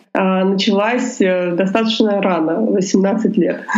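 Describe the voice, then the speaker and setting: A woman talks with ordinary pitch variation amid noticeable background noise and audible room echo. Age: 20s. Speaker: lawyer. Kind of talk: interview.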